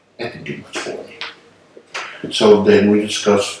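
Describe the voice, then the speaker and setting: A fairly low-pitched man at a fairly slow pace, with ordinary pitch variation, audible room echo and noticeable background noise. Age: 60s. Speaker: patient, military retiree. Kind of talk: testimony. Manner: casual, conversational with fillers.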